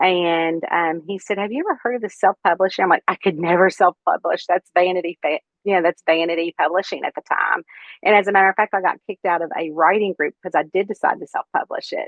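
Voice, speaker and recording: With a Kentucky accent, a woman speaks very fast at a medium pitch with ordinary pitch variation. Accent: Kentucky Southern. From central Kentucky. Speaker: cozy mystery author. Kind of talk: interview. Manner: many filler words (um).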